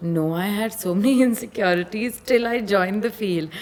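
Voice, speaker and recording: Noticeable background noise sits under the speech. The woman's pitch varies in an ordinary way. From India, Pune. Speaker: model. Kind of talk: casual chat.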